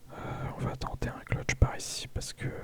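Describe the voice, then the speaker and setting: A man's whisper, very slow, against noticeable background noise. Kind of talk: casual gameplay commentary. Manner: whispered.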